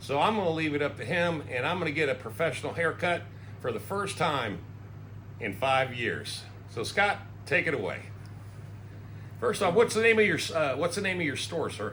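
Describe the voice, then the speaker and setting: A man's fairly high, bright and sharp voice with vocal fry, very wide pitch swings, a moderate pace, long and frequent pauses, and audible room echo. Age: 60s. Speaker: YouTuber. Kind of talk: casual chat. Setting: barbershop.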